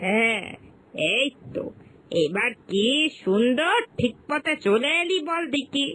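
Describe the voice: A woman's cartoonish character voice, fairly high and fairly bright, slow in pace with lively intonation.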